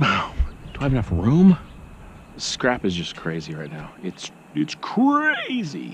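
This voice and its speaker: At a very slow pace, a man speaks with a dry sound and no echo over light background noise. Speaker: scrap collector vlogger. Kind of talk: casual vlog chat. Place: street. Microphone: phone near.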